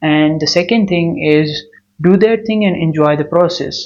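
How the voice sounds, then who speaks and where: Speaking with a non-native accent, a man uses a fairly high voice at a moderate pace. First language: not English. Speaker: new YouTuber. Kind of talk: vlog monologue. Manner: non-native, some hesitation.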